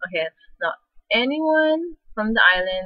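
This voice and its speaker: A woman with a Hawaiian accent. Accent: Hawaiian local. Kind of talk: casual talk to camera.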